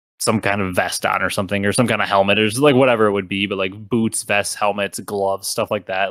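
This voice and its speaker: On a very clean recording with a silent background and a dry, close sound, a man speaks very fast at a fairly low pitch in a monotone, flat delivery. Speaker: gaming podcast host. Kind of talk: casual chat.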